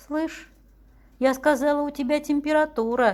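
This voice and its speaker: A woman at a very slow pace on a very clean recording with a silent background. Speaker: amateur reader. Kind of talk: reading aloud. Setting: by the fireplace at home. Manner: expressive.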